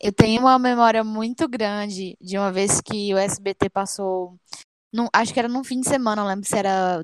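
In a plain, everyday voice, a woman talks at medium pitch and a moderate pace with fairly even intonation, the sound dry and close with no echo on a very clean recording with a silent background. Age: 20s. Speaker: tribute band member, podcast co-host. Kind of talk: casual chat.

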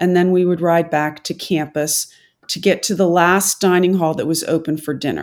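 A woman with an American accent and a normal speaking voice, fairly low in pitch, at a moderate pace with ordinary pitch variation, on a very clean recording with a silent background. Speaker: physician and former Olympic rower. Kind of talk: storytelling interview.

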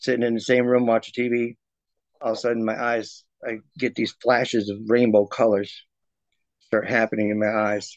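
Flat and monotone, a man with an American accent speaks at a moderate pace and a medium pitch. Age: 50s. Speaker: interviewee describing paranormal experiences. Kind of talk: casual interview. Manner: hesitant, many fillers.

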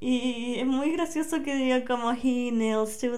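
With a Chilean accent, a woman speaks in a high pitch amid audible room echo. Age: 20s. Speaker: podcaster. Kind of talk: casual monologue. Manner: relaxed.

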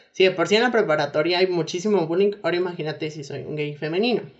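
A woman talks at a very fast pace with a Mexican accent. Her pitch is fairly low for a woman, with ordinary pitch variation. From Mexico. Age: 20s. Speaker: physiotherapy student. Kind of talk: interview. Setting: remote call.

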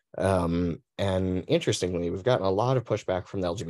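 A man with an American accent speaks at a moderate pace in a very deep, low voice over a quiet background. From Arizona. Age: 40s. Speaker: LGBTQ advocacy officer. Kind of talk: panel discussion. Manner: halting.

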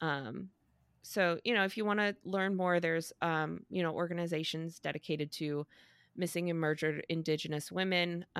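This woman has an unremarkable speaking voice, fairly low in pitch, delivered at a moderate pace with fairly even intonation and very even loudness. The recording is very clean, with a silent background. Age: 30s. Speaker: podcast co-host. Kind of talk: reading aloud; casual chat.

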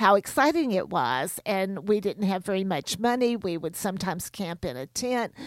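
Here is a plain, everyday voice at a moderate pace with lively intonation and hardly any pauses, on a very clean recording with a silent background and a dry, close sound with no echo. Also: woman, medium pitch for a woman. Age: 60s. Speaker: homeschool curriculum author. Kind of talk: radio interview.

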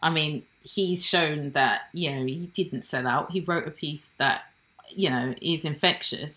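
Speaking at a fairly slow pace with a British accent, a woman has a very deep, low pitch, a bright, sharp tone and ordinary pitch variation. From born in Nigeria, raised in Britain. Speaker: jazz saxophonist. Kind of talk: casual interview chat.

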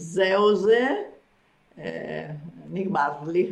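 A woman speaks at a very slow pace in a fairly low pitch, with ordinary pitch variation. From Argentina. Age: 80s+. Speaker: retired kibbutz member. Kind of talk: interview about life story.

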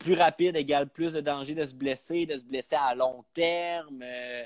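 Very slow, fairly high-pitched man with a Quebec accent, fairly even intonation and a dry, close sound with no echo. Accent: Québécois French. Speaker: comedian. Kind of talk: casual chat.

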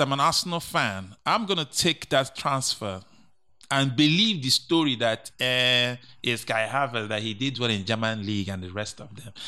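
On a very clean recording with a silent background, a man with a medium pitch uses an animated, bright, sharp tone and very wide pitch swings. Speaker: co-host and sports pundit. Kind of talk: casual banter about football.

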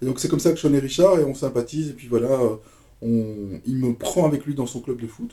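A man speaks at a fairly quick pace with a dark, mellow, somewhat breathy tone and medium pitch. His intonation stays fairly even, broken by long, frequent pauses. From Belgium (Brussels). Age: 50s. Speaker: DJ. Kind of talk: casual chat.

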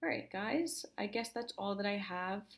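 A woman at a moderate pace with ordinary pitch variation, on a very clean recording with a silent background. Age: 20s. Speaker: fashion podcast host. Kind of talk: casual monologue. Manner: unscripted, rambling first take.

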